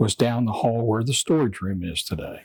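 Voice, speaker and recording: Somewhat breathy, a man talks with a West Virginia accent. The recording is dry and close, with no echo. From Jefferson County, West Virginia. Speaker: museum historian. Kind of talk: interview answer.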